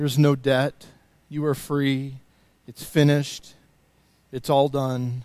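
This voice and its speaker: At a very slow pace and a fairly high pitch, a man speaks in a flat monotone, with long, frequent pauses and big swings in loudness. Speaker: worship leader. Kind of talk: spoken prayer during worship.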